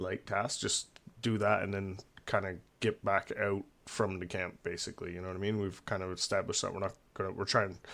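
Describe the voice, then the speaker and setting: This man's voice sits fairly low in pitch. His intonation is monotone and flat. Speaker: gaming streamer. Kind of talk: casual chat. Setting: live stream at home. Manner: talking low; halting, many fillers.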